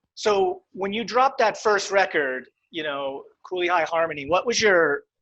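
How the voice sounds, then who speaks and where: In an American accent, a man with a high pitch speaks at a moderate pace in a raised, projected voice, his tone bright and sharp and his intonation lively, against a quiet background. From central Pennsylvania. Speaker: sommelier and show host. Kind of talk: interview.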